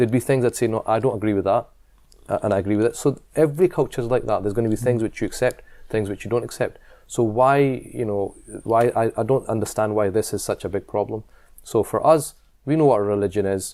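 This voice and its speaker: A man with a Scottish accent speaks at a very fast pace, his voice medium-pitched with a dark, mellow tone and ordinary pitch variation. The recording is very clean, with a silent background. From Scotland. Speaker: imam and community leader. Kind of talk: interview. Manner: halting.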